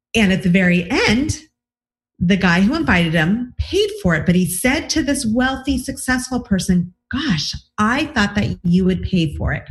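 Over music in the background, a woman speaks at a moderate pace in an enthusiastic, upbeat tone with lively intonation. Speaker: relationship coach and podcast host. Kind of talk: interview podcast.

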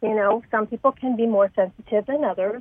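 Hers is a plain, everyday voice, fairly high in pitch. The woman's pitch varies in an ordinary way. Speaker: essential oils expert. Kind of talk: casual interview.

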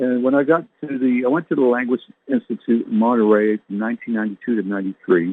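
In an American accent, a man with a normal speaking voice talks at a moderate pace and medium pitch, with ordinary pitch variation. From US West Coast, San Diego. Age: 60s. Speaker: minister and show host. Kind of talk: spiritual talk show monologue. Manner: rambling, conversational.

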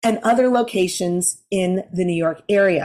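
A woman at a fairly slow pace, animated and upbeat, with ordinary pitch variation on a very clean recording against a silent background. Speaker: podcast host. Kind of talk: interview with intro and promo. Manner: animated, upbeat.

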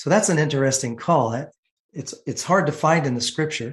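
A man is speaking. His voice is somewhat breathy. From San Francisco, California. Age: 60s. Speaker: insurance agency owner. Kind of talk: testimony. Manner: halting.

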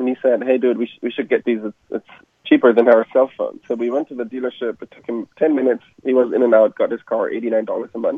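Very fast speech from a man with a German accent. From Germany. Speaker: entrepreneur. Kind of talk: interview. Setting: radio show.

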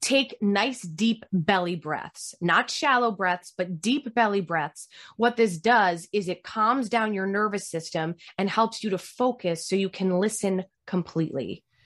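A woman with an ordinary speaking voice talks at medium pitch and a fairly slow pace, with ordinary pitch variation and a quiet background. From US, Italian-American family. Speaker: communication coach. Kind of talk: interview.

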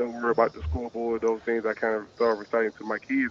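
At a very fast pace, a man with a Southern US accent and medium pitch talks in a dry, close sound with no echo. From Alabama, Tuscaloosa. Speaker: high school football coach. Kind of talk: radio interview.

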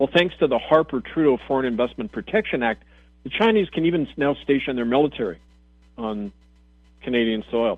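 Speaking at a fairly quick pace, a man uses a medium pitch and lively intonation. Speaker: radio host and minister. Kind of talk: radio talk monologue. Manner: impassioned.

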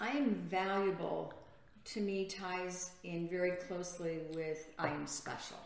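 Noticeable background noise and audible room echo surround a woman's voice. She speaks fairly slowly with fairly even intonation. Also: medium pitch for a woman. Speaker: retired juvenile justice worker. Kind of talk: inspirational religious talk show.

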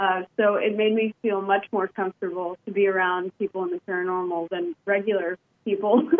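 Her voice unremarkable and medium in pitch, a woman speaks with an American accent. She moves at a fairly quick pace with fairly even intonation. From Texas and Indiana. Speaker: paranormal investigator. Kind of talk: casual interview.

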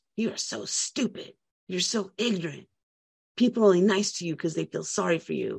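Putting on a raspy character voice, a woman at medium pitch delivers her lines at a fairly quick pace. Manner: cruel.

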